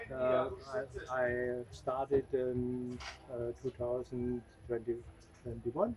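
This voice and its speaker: Amid noticeable background noise, a man with a medium pitch talks at a very slow pace with monotone, flat intonation and long, frequent pauses. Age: 60s. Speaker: rally driver and team owner. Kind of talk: casual interview. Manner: halting, broken English.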